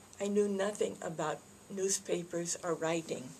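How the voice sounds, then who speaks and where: A soft-spoken, somewhat breathy woman with an American accent talks at a moderate pace, with a fairly low pitch and fairly even intonation. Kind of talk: greeting message to camera.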